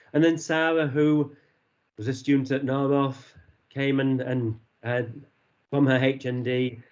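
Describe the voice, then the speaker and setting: A man with a Yorkshire accent speaks at a fairly slow pace, leaving long, frequent pauses. His intonation is monotone and flat. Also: medium pitch for a man. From Yorkshire, northern England. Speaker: university associate dean. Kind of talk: online presentation. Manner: hesitant, many fillers.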